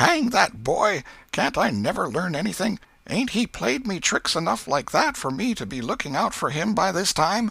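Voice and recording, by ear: Putting on a character voice, a man speaks high in pitch with big swings, his bright, sharp tone carrying a slightly husky edge and vocal fry. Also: moderate pace.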